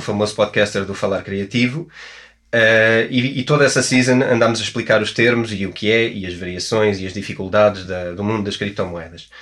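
With a European Portuguese accent, a man of fairly low pitch talks at a fairly quick pace with ordinary pitch variation. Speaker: podcast host and author. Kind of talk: podcast intro; interview.

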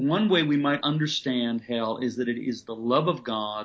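Medium-pitched male speech in a normal speaking voice, with ordinary pitch variation. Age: 50s. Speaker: pastor and author. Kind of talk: interview conversation.

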